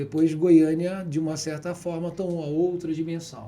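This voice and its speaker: A man speaks at a moderate pace with a fairly high pitch. His tone is dark and mellow. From city of Goiás, Brazil. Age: 60s. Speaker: businessman and politician. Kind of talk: interview.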